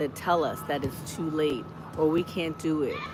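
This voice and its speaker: A woman speaks with a very deep, low pitch and a monotone, flat intonation. Noticeable background noise runs under her voice. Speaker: lifestyle vlogger. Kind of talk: casual livestream chat. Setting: outdoors on a college campus. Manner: conversational, warm.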